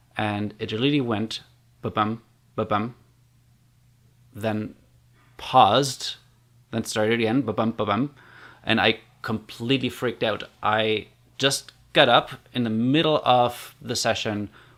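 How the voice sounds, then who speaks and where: A man with a German accent, fairly slow and fairly even in intonation, with long, frequent pauses, on a very clean recording with a silent background. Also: medium pitch for a man. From Germany. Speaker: community builder and online course creator. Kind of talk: personal storytelling vlog. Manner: casual, conversational with fillers.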